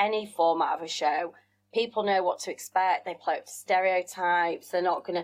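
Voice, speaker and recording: A woman with a Yorkshire accent, at a moderate pace. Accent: Yorkshire, northern English. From West Yorkshire, England. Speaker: business owner and former TV contestant. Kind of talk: casual interview chat.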